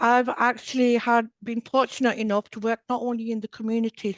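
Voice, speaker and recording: At a fairly quick pace, a woman speaks with a fairly high pitch and a monotone, flat intonation. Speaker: hepatitis community project coordinator. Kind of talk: panel discussion. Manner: slurring slightly.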